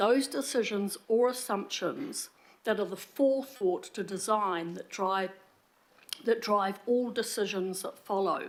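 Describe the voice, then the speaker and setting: In a New Zealand accent, a woman with a fairly high voice talks at a fairly slow pace with lively intonation. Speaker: public speaker at council meeting. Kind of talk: public submission. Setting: council meeting.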